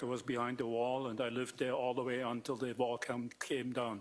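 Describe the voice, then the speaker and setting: A man with a German accent and a medium pitch speaks at a fairly quick pace, his intonation monotone and flat and his loudness very even. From East Germany. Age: 60s. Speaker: doctor testifying at trial. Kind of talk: witness testimony. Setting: courtroom. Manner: halting.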